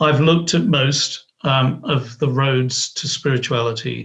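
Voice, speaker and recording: A man, somewhat breathy, with fairly even intonation at a fairly slow pace. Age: 60s. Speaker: author. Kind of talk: interview. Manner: halting.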